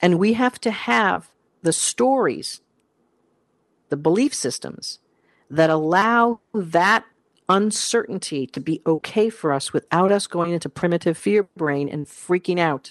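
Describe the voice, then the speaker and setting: A woman speaks with lively intonation at a fairly low pitch. The sound is dry and close with no echo, over a quiet background. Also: fairly slow pace. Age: 50s. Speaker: career coach and podcast host. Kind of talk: solo podcast talk. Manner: animated.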